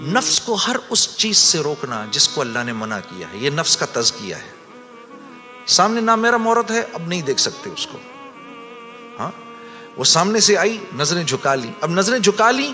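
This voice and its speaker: Over music in the background, a man speaks in a raised, projected voice with a high pitch and very wide pitch swings. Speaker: religious speaker. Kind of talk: religious sermon.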